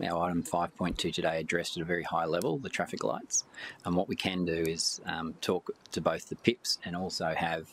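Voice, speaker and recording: The man's pitch sits very deep and low. He talks with an Australian accent. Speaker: council officer. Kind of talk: committee meeting discussion.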